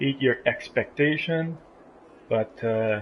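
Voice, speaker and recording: Noticeable background noise sits behind the speaker. He is a man with a fairly high pitch and a fairly slow pace. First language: not English. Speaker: race commentator. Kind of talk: live commentary. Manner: halting.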